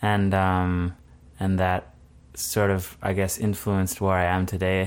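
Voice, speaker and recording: Fairly low-pitched man at a fairly slow pace, in a very clean recording with a silent background. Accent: Manitoban. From southern Manitoba, Canada. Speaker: graphic designer. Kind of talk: casual interview. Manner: halting, many fillers and restarts.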